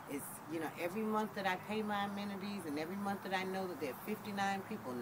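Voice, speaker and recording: A woman at medium pitch talks with ordinary pitch variation. There is audible room echo and noticeable background noise. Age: 60s. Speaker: homeowner interviewed for student project. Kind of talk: interview testimony.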